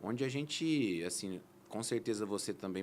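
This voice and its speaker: A man speaks at a fairly slow pace in an ordinary speaking voice, his pitch fairly low. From interior of São Paulo state, Brazil. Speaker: plastic surgeon, guest. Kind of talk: interview podcast.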